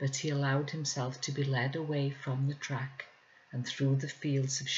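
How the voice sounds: What we hear is a natural reading voice.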